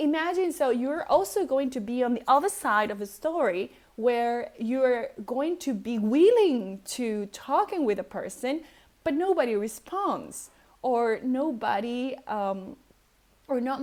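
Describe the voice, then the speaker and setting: Fairly slow and lively in intonation, a woman speaks at a high pitch with a non-native accent. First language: not English. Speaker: personality type coach and vlogger. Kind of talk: casual vlog monologue. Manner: hesitant, many fillers.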